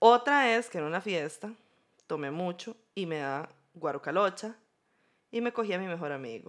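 With a Costa Rican accent, the speaker uses lively intonation on a very clean recording with a silent background. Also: woman. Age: 30s. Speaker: podcast co-host. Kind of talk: casual chat.

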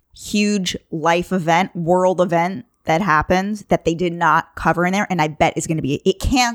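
A woman with a New York accent, fairly low in pitch, at a moderate pace with ordinary pitch variation and a dry, close sound with no echo. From Long Island, New York. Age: 30s. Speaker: podcast host guest. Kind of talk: casual chat.

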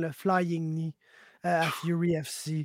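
The sound is dry and close, with no echo. A man speaks at a very slow pace. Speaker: MMA podcast host. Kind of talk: casual chat. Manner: animated.

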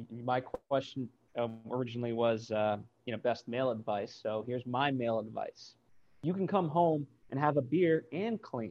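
Medium-pitched, a man's normal speaking voice, moderately paced, with ordinary pitch variation.

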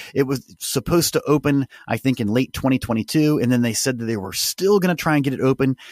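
Over a silent background in a very clean recording, a man with a medium pitch talks at a very fast pace, the sound dry and close with no echo. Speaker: podcast host. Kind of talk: casual chat.

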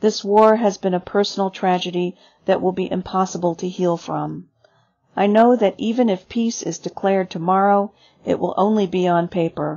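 A woman with an ordinary speaking voice talks at a moderate pace in a medium pitch with fairly even intonation. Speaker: radio reading-service reader. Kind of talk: reading aloud.

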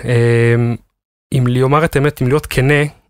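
This man talks at a moderate pace. His pitch is medium. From Israel, Haifa bay suburbs. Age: 30s. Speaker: car importer marketing manager. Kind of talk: interview. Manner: hesitant, many fillers.

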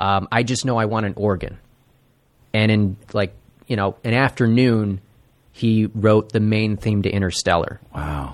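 Speaking in an American accent with an unremarkable speaking voice, a man talks at a fairly slow pace and fairly low pitch with ordinary pitch variation. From Buffalo, New York, then US Midwest. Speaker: comedy network tech worker. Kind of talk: casual chat. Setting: studio.

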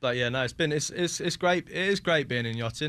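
A bright, sharp tone with a southern English accent. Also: man. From southern England (West Sussex). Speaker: yacht chef. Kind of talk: interview. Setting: studio.

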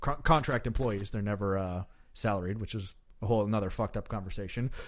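On a very clean recording with a silent background, a man with a medium pitch talks at a fairly quick pace and with lively intonation. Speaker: podcast host. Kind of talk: casual chat. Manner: animated.

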